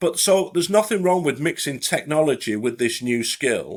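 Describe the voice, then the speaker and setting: With a Lancashire accent, a man talks at a fairly quick pace with a fairly high pitch and vocal fry. His pitch swings very widely, and the recording is very clean with a silent background. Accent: Bolton. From northern England, Bolton. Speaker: retired police detective, forensic identification expert. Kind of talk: podcast interview. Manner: halting, many fillers and restarts.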